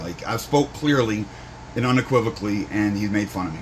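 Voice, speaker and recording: Noticeable background noise and audible room echo fill the recording. The man talks at a moderate pace with ordinary pitch variation. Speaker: video blogger reading court transcript. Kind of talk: commentary reading a court transcript. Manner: loud.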